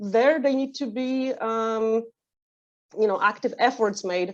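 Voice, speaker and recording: A woman with a Polish accent and a fairly high pitch, against a quiet background. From Poland. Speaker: training manager. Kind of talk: webinar talk. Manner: halting, many fillers.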